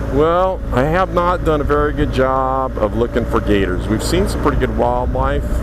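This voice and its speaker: With audible room echo and noticeable background noise, a man speaks at a very even loudness with hardly any pauses. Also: moderate pace. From California. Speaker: motorcycle vlogger. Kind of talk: casual narration while riding. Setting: outdoors on a motorcycle. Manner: casual, halting.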